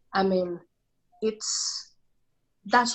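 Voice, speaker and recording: A woman with a Venezuelan accent at a medium pitch and a fairly slow pace. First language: Spanish. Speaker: immigrant sharing faith story. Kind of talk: podcast interview. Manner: halting.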